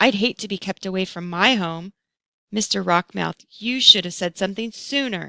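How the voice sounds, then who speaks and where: A woman puts on a raspy character voice at a medium pitch, speaking at a moderate pace with ordinary pitch variation in a dry, close sound with no echo. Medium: read story.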